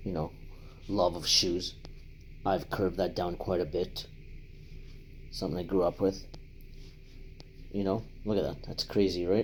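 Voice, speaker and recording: A man with a very deep, low voice talks at a moderate pace in a flat monotone, leaving long, frequent pauses. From Latin America, raised in Canada from age ten. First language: Spanish. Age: 50s. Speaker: life advice vlogger. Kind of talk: personal vlog monologue. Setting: home apartment. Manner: conversational, hesitant with fillers.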